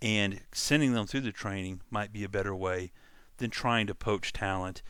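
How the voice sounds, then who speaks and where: On a very clean recording with a silent background, a man with a Louisiana accent talks at a moderate pace in a fairly low voice. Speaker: coding tutorial channel host. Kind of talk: casual monologue. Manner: halting, many fillers.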